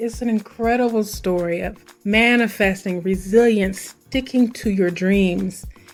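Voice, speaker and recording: With music playing in the background, a woman speaks at a fairly high pitch and a moderate pace, her pitch varying normally. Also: hardly any pauses. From Missouri, US. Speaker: podcast host. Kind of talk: podcast monologue. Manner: animated.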